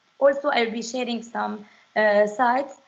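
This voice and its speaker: Speaking in a non-native accent, a woman uses a high pitch with ordinary pitch variation. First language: not English. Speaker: French teacher. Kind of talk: webinar presentation. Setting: online webinar. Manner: halting, many fillers.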